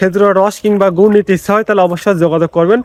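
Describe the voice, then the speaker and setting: A man speaks in a high pitch with fairly even intonation. The sound is dry and close, with no echo. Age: 20s. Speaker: vlogger. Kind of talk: interview questions.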